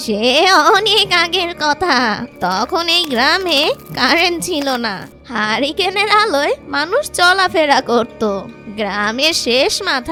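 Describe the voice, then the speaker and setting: Over clear music in the background, a female-sounding cartoonish character voice speaks at a fairly slow pace with a high pitch. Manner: warm, cautionary.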